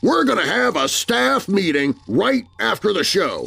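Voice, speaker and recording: At a moderate pace, a man puts on a character voice, high in pitch with very wide swings. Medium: read story. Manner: petulant, bossy.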